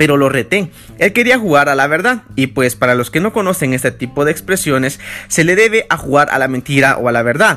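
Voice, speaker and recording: Over music in the background, a man talks at a fairly quick pace in an animated tone with very wide pitch swings. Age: 20s. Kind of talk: casual devotional monologue.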